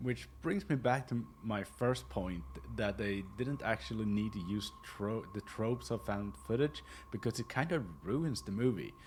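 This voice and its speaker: Using a fairly low pitch with very wide pitch swings and vocal fry, a man talks at a moderate pace. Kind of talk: casual film essay narration.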